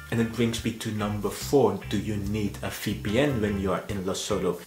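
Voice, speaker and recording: Clear music plays behind a man with a fairly low pitch. He speaks at a moderate pace, with audible room echo. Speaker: travel vlogger. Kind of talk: informational vlog talk. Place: home room.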